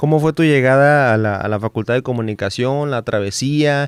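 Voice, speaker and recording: A man speaks in a plain, everyday voice at a fairly slow pace with fairly even intonation. The recording is very clean, with a silent background. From Baja California Sur, Mexico. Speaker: podcast host. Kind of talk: casual interview chat.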